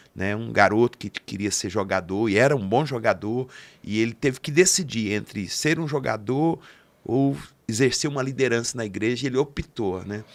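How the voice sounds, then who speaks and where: A man speaks at a medium pitch and a moderate pace, with ordinary pitch variation, in an unremarkable speaking voice. The recording is very clean, with a silent background. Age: 60s. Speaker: podcast host and pastor. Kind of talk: interview conversation.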